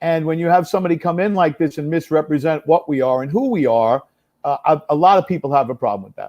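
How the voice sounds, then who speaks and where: In a New York accent, a man with a fairly high pitch speaks at a very fast pace, with lively intonation and big swings in loudness. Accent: New York City. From New York City, the Bronx. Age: 60s. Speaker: congressional candidate. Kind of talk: live interview.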